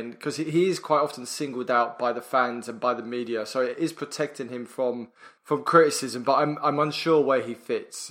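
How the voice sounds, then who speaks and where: This man has an ordinary speaking voice, fairly high in pitch, with ordinary pitch variation at a moderate pace. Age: 30s. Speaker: podcast co-host. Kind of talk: casual chat.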